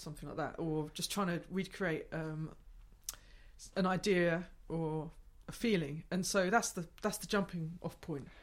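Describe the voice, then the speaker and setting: A woman with a southeast English accent, fairly low pitch, fairly even intonation, and long, frequent pauses. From southeast England, Gravesend, Kent. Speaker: improvising musician and gig organizer. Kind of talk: casual interview. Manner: halting, many fillers and restarts.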